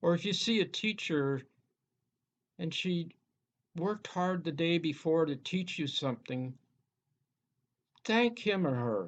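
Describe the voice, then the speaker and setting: Speaking at a fairly slow pace with long, frequent pauses, a man uses a high pitch and lively intonation. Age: 80s+. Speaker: teacher giving graduation address. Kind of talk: graduation speech. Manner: earnest, occasional false starts.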